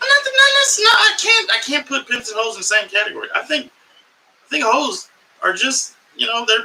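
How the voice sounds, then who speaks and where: A man with an American accent speaks in a raised, projected voice at an extremely high pitch. His pitch swings very widely at a moderate pace. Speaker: comedian and podcast host. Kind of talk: live podcast monologue. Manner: animated.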